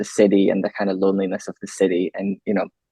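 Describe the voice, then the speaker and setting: A man talks in a Limburg accent. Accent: Dutch (Limburg) accent in English. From Netherlands, Maastricht area. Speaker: filmmaker. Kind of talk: interview Q&A.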